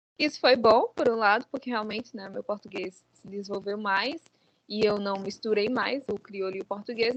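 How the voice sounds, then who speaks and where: A woman uses an ordinary speaking voice at a moderate pace, with ordinary pitch variation and big swings in loudness. The sound is dry and close with no echo. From Brazil (João Pessoa, Paraíba), born in Guinea-Bissau. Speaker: author. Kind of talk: interview.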